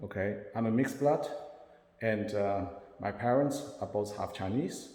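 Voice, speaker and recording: Dark, mellow tone from a man at a fairly low pitch and moderate pace, with audible room echo. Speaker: self-described spiritual channeler. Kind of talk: personal monologue to camera. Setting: self-recorded on camera. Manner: halting.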